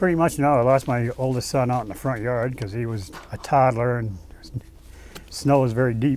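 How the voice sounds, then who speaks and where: With an Eastern New England accent, this speaker moves at a fairly quick pace and uses ordinary pitch variation. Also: man, medium pitch for a man. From Natick, Massachusetts. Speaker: Navy veteran. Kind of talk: interview answer.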